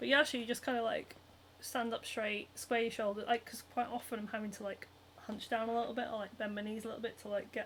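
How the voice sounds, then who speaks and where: At a very fast pace, a woman speaks in a fairly high voice with a Northern English accent. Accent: Northern British. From Scotland, Edinburgh. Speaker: cosplayer and craft livestreamer. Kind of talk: casual chat. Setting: solo livestream. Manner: animated.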